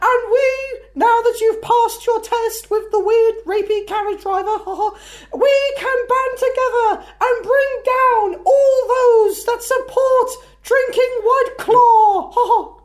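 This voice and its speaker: A man puts on a squeaky character voice at an extremely high pitch, speaking at a fairly slow pace. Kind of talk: comic overacting. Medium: read story. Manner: giggling between sentences.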